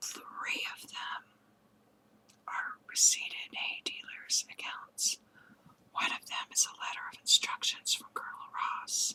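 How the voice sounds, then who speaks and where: A woman whispers at a fairly slow pace. Her loudness swings widely. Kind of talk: audiobook story reading; ASMR. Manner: whispered.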